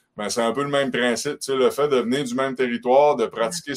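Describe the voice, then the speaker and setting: This man has an ordinary speaking voice, with fairly high pitch and lively intonation. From Quebec, Côte-Nord (Havre-Saint-Pierre). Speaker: tourism business owner. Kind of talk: interview.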